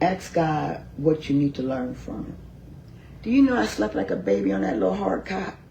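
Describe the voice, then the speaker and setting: Someone with an American accent talks at a moderate pace with hardly any pauses, the loudness swinging widely. Noticeable background noise and audible room echo fill the recording. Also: woman. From Philadelphia. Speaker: county commissioner. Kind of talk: interview, personal story.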